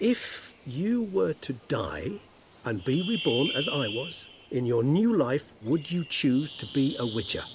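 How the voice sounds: A man's put-on character voice, slightly husky at the edges, fairly slow, with big pitch swings. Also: medium pitch for a man.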